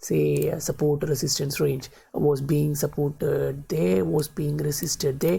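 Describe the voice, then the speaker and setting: Speech comes at a moderate pace. A non-native accent is heard. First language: not English. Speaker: crypto market commentator. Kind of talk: chart analysis tutorial. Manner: halting, many fillers.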